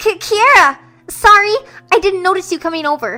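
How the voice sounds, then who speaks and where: A put-on character voice, female-sounding and extremely high in pitch, at a moderate pace with faint music in the background. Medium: audio drama. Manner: casual, friendly.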